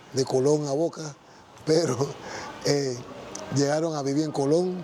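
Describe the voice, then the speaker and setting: A man's fairly high voice in a flat monotone, over noticeable background noise. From Panama, Panama City. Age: 60s. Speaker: church member giving testimony. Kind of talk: testimony. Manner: halting, with false starts and repetitions.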